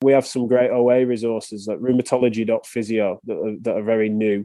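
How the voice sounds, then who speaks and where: Speaking with an English accent, a man keeps a medium pitch and a moderate pace in a monotone, flat intonation. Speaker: physiotherapist. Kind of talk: podcast interview.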